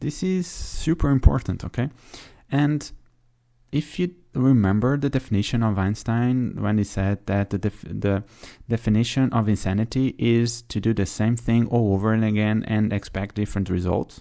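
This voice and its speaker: A man with a non-native accent talks at a moderate pace, with medium pitch and ordinary pitch variation in a dark, mellow tone. The recording is very clean, with a silent background. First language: not English. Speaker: podcast host. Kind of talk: solo podcast monologue. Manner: hesitant, filler-heavy.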